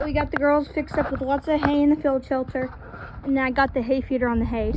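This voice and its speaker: Over noticeable background noise, a woman talks very fast in a high voice with fairly even intonation. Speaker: horse owner vlogger. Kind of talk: casual vlog narration while doing chores.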